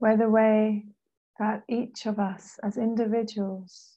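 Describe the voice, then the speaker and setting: A woman speaks at a very slow pace in a fairly high, somewhat breathy voice. Her tone is dark, mellow, calm and soothing, her intonation monotone and flat. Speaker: meditation guide. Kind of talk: guided meditation. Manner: slow, calm, soothing.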